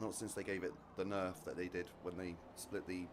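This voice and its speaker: With an English accent and very deep, low pitch, a man talks at a fairly quick pace in a monotone, flat intonation, with audible room echo around him. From British army family, lived all over the world. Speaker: racing game streamer. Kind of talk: live gameplay commentary. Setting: live stream. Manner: casual, fragmented.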